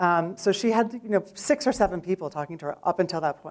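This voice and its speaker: Here a woman talks very fast with an American accent. Her pitch varies in an ordinary way. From New York City. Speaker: startup founder. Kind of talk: pitch presentation.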